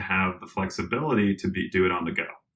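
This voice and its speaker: A man with an American accent talks at a moderate pace, his fairly low voice bright and sharp in tone. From Colorado, US. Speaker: tech company executive. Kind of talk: podcast interview.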